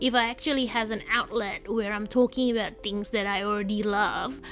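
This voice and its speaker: A woman talks at a moderate pace. Her pitch is fairly high, and there is noticeable background noise. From Indonesia. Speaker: journaling YouTuber. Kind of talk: casual chat voiceover. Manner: rambling with filler words.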